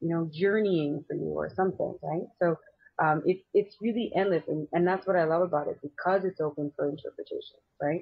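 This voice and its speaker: A woman with a plain, everyday voice talks at a fairly quick pace over a quiet background. Her pitch is fairly low and her intonation fairly even. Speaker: remote guest, tarot reader. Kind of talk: interview answer. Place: home room. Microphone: video call.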